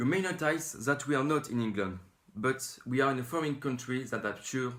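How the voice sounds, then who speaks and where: A man talks with a French accent. His pitch varies in an ordinary way. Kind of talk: mock TV news intro.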